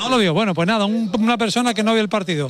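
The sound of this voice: A man talks at a very fast pace. His high voice has ordinary pitch variation.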